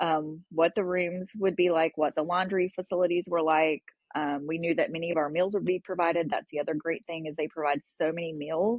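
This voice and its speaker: Using a normal speaking voice with an American accent, a woman talks at a fairly quick pace with a fairly low pitch. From North Carolina. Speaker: parent of transplant patient. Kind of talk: podcast interview.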